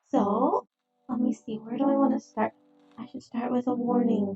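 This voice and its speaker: Over music in the background, a soft-spoken woman talks at a high pitch and a moderate pace with lively intonation. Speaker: streamer. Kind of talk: casual chat. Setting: live stream.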